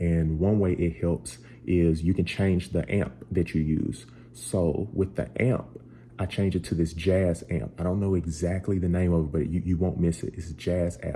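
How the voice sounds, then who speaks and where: At a moderate pace, a man speaks with a very deep, low pitch and a dark, mellow, somewhat breathy tone. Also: ordinary pitch variation. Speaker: musician and tutorial creator. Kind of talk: tutorial. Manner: casual.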